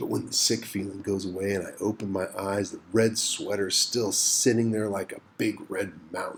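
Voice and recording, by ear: The text is read aloud. A natural voice carries it.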